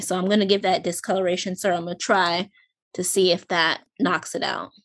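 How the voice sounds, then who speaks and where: A woman speaks at a fairly quick pace, her pitch medium. It is an ordinary speaking voice. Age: 30s. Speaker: podcast co-host. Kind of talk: casual chat.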